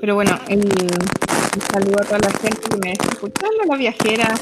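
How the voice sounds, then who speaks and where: A woman's medium-pitched voice at a moderate pace, with noticeable background noise. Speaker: nutritionist and digital nomad traveller. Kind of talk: casual interview.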